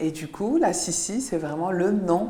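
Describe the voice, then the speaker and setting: A woman with an Algerian accent speaks at a fairly slow pace amid noticeable background noise. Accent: Constantine Algerian accent, kept. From Algeria, Constantine. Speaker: dentist and content creator. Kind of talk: interview. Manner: hesitant, many fillers.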